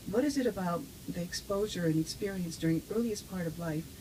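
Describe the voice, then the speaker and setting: Speaking in an American accent, the woman uses a fairly low pitch. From US, with childhood ages 5 to 11 in Japan. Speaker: neuroscience professor. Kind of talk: interview. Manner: halting, with frequent fillers.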